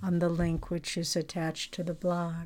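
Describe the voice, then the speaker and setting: Her voice carries a gentle tone at a fairly low pitch. The woman's intonation is monotone and flat, on a very clean recording with a silent background. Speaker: spiritual teacher giving a blog commentary. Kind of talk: devotional reading of a ceremony, then fervent prayer-like blessing. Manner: gentle, reverent, slow and heartfelt; earnest, comforting, prayerful.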